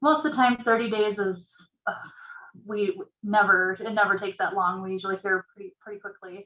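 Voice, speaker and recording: Her loudness swinging widely, a woman of medium pitch speaks at a fairly quick pace. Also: ordinary pitch variation. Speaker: realtor association staff presenter. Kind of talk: orientation presentation. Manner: hesitant, many fillers.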